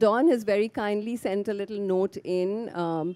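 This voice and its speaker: A woman talks at a moderate pace in a dark, mellow tone with ordinary pitch variation. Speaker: panel moderator. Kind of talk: moderator introduction. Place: garden. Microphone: handheld.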